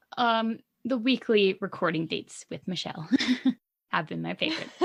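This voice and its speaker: A woman with a Canadian accent speaks at a moderate pace in a medium pitch, her pitch varying in the usual way and her voice showing vocal fry. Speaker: podcast co-host. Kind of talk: casual chat.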